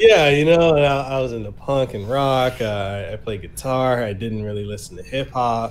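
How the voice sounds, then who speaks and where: A medium-pitched man with an American accent, fairly slow in pace, with audible room echo. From Samoa and Memphis, US South. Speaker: podcast host and content creator. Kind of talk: casual interview chat. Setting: online podcast recording.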